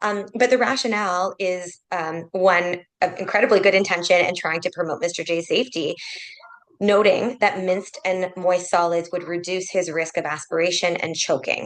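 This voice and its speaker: A woman speaks at a moderate pace in a medium pitch, with ordinary pitch variation. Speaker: clinical ethicist. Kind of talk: case presentation in a webinar. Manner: loud.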